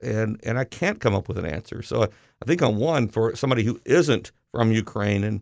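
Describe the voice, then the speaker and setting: On a very clean recording with a silent background, a man uses a plain, everyday voice at medium pitch and a fairly quick pace. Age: 50s. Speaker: high school principal. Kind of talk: casual interview on school radio.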